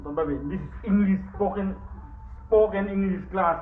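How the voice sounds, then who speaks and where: A man with a northeastern Indian accent, high-pitched for a man, with fairly even intonation, audible room echo and noticeable background noise. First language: Mizo. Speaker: vlogger. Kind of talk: casual vlog. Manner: halting, frequent hesitations.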